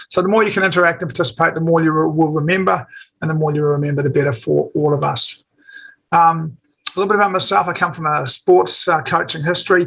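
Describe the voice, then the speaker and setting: With a New Zealand accent, the speaker goes at a very fast pace with ordinary pitch variation. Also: man, fairly high pitch for a man. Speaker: forex trader and educator. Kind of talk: webinar presentation.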